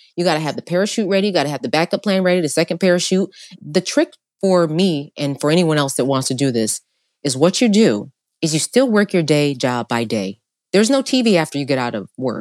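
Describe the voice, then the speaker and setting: A woman's very deep, low voice at a very fast pace, with an animated tone and very wide pitch swings, in a very clean recording with a silent background and a dry, close sound with no echo. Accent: New York. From upstate New York. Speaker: entrepreneur. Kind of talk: casual chat.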